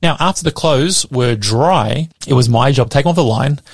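Somewhat breathy, a man with an Australian accent speaks at a medium pitch in a dry, close sound with no echo. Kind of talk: radio sermon.

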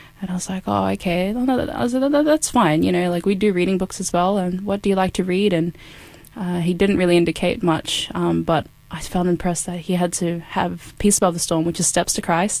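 This is a woman with an Australian accent. Her pitch is fairly low. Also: ordinary pitch variation, moderate pace. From far north Queensland, Australia. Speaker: volunteer missionary canvasser. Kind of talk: interview testimony.

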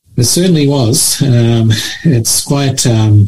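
This man has a somewhat breathy, dark, mellow tone and speaks with an Australian accent. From Australia (Sydney), born in Mauritius. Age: 60s. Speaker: charity leader. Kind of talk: radio interview.

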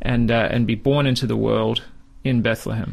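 With an Australian accent, the speaker keeps a fairly even intonation. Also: man. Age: 30s. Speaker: Bible teacher. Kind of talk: radio interview. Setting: studio.

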